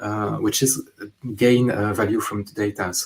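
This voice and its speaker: A man speaks with a strong French accent. His pace is moderate. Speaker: data consultant. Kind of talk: conference talk. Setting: remote online conference. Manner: halting, many fillers.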